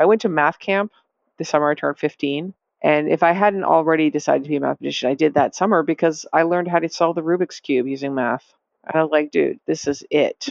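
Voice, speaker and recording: A woman with a very deep, low pitch and an American accent, speaking at a very fast pace with ordinary pitch variation. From US Northeast, Massachusetts. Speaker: data scientist and author. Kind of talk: interview.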